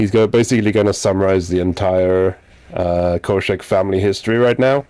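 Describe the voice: What you hear is plain reading aloud.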